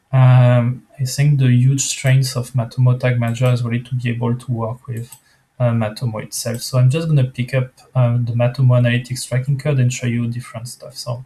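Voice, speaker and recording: A man talks at a fairly quick pace with a non-native accent. His pitch is medium and his intonation is monotone and flat. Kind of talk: software screencast walkthrough. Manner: casual, hesitant, many fillers.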